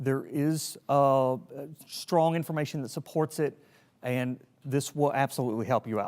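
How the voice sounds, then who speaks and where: A man's fairly high voice in a Southern US accent, with fairly even intonation, on a very clean recording with a silent background. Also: moderate pace. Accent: Southern US, noticeable. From Tennessee. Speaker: emergency preparedness trainer, army veteran. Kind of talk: training lecture. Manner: casual, conversational.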